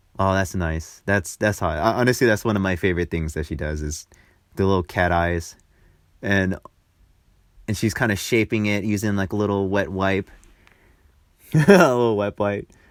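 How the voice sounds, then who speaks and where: A man's fairly low, playful voice at a moderate pace, with ordinary pitch variation and long, frequent pauses. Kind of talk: improvised comedic voiceover narrating a makeup tutorial. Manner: casual, playful, joking.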